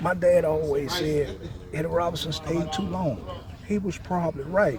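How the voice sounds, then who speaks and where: An American accent at a moderate pace with ordinary pitch variation, amid noticeable background noise and audible room echo. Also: man. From Louisiana. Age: 60s. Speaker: farmer. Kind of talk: interview. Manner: casual, relaxed.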